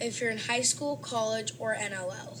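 Medium-speed speech full of very wide pitch leaps, set against clear background noise. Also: woman. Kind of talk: casual sports analysis.

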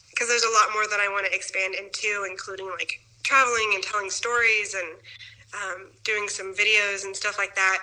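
A woman with an American accent talks fairly quickly at medium pitch. Her intonation is monotone and flat, with noticeable background noise. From Kansas City, US Midwest. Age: 30s. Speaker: nonprofit founder. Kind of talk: interview.

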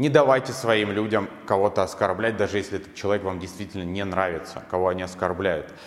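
Noticeable background noise sits behind a man talking at a very fast pace. His pitch is fairly low, with ordinary variation. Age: 20s. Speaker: hair colouring instructor. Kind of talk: motivational monologue. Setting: solo video recorded in one take.

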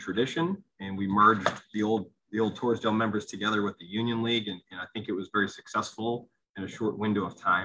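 A man with an American accent talks at a fairly quick pace in an unremarkable speaking voice, his fairly low pitch carried by fairly even intonation. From Pennsylvania, Lehigh Valley (Allentown). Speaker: golf club director. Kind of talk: interview conversation.

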